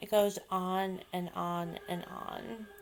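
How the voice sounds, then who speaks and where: A woman talks while noticeable noise is heard in the background. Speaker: author vlogger. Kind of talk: casual vlog monologue. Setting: home video vlog, slouching. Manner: hesitant, many fillers.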